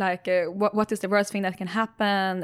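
At a moderate pace, a woman with a Swedish accent speaks in a medium pitch with fairly even intonation, recorded very cleanly against a silent background. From Sweden. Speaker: tech startup CEO. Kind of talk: interview.

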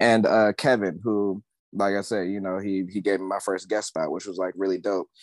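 A man with an American accent has an unremarkable speaking voice at a fairly low pitch. He talks at a moderate pace with fairly even intonation, in a dry, close sound with no echo. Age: 20s. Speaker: tattoo artist. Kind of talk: casual chat.

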